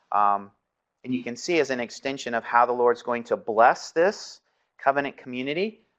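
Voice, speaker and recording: Over a quiet background, a man speaks at a medium pitch. He has an ordinary speaking voice with ordinary pitch variation. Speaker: seminary professor. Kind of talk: lecture.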